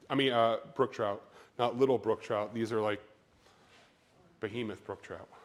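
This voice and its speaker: Long, frequent pauses and a flat, monotone delivery over a very clean recording with a silent background. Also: man, medium pitch for a man. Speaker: fisheries researcher and professor. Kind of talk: lecture. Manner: fast.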